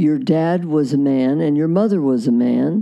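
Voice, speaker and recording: A woman's very deep, low voice at a fairly slow pace, with lively intonation. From Iowa, US Midwest. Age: 80s+. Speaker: relationship therapist and author. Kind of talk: casual interview. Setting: in person, recorded and shown on social media.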